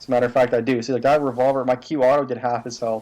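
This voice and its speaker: Quiet and monotone with flat intonation, a man at medium pitch speaks at a very fast pace. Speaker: gaming video creator. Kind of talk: gameplay commentary tutorial. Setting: home recording at night. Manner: quiet, subdued; casual, filler-heavy.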